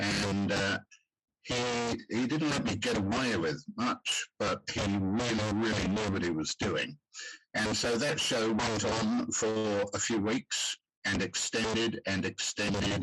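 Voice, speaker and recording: Over background music, a man talks at a very slow pace with very even loudness. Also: fairly low pitch for a man, ordinary pitch variation. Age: 70s. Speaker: actor. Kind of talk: podcast interview.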